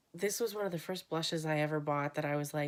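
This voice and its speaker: A woman's voice has a very deep, low pitch. The recording is very clean, with a silent background. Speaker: beauty vlogger. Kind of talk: casual vlog talk.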